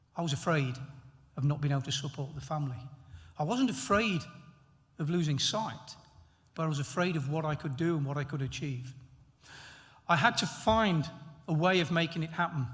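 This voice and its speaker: A man with an East Midlands accent, fairly high pitch and ordinary pitch variation, talking at a fairly quick pace with long, frequent pauses. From England, Nottingham. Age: 60s. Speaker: honorary graduate, former elite athlete. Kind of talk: graduation acceptance speech.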